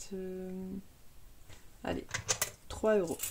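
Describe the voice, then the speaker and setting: A woman with a medium pitch talks at a moderate speed. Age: 30s. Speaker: budgeting youtuber. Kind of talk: casual tutorial.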